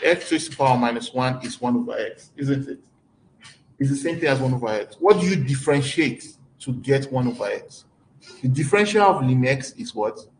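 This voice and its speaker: The speech comes fairly quickly, somewhat breathy, and its pitch varies in an ordinary way. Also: man, fairly high pitch for a man. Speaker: mathematics lecturer. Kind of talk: lecture.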